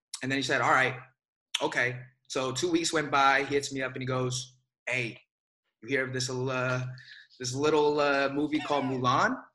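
A man with an American accent, a bright, sharp tone, monotone, flat intonation, long, frequent pauses and audible room echo. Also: medium pitch for a man, moderate pace. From Bay Area, California. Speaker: actor. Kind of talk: casual interview.

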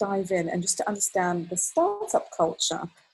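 A somewhat breathy woman with a British accent speaks at medium pitch and a fairly quick pace. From UK (raised partly in Kuwait, Palestinian family). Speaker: creative director and trend strategist. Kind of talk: podcast interview.

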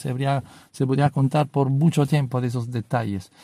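Somewhat breathy and dark, mellow in tone, a man talks at a moderate pace with ordinary pitch variation in a dry, close recording with no echo. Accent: Italian. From Italy (Rome). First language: Italian (speaking Spanish). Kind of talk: religious talk. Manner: halting.

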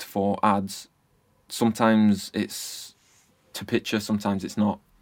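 A man's monotone, flat intonation at a fairly slow pace, with music in the background. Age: 30s. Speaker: music producer. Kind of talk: casual interview chat.

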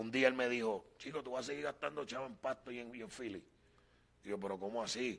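A man speaks at a fairly quick pace with a medium pitch, ordinary pitch variation and a bright, sharp tone. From Puerto Rico, Loíza. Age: 40s. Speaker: evangelist. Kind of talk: testimony.

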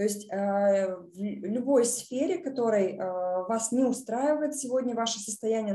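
Somewhat breathy and dark, mellow in tone, a woman speaks at a fairly slow pace with ordinary pitch variation. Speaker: project portfolio manager. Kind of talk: online presentation.

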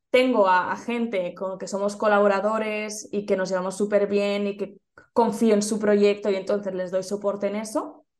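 Her intonation monotone and flat, a woman speaks in a Spanish accent at a moderate pace with a medium pitch. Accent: Peninsular Spanish. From Spain. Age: young. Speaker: entrepreneurship and social media coach. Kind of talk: interview.

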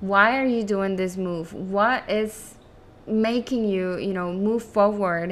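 A woman with a Spanish accent speaks at a fairly slow pace and fairly high pitch, with ordinary pitch variation. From Venezuela, Caracas. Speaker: physician assistant, podcast host. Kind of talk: solo podcast monologue.

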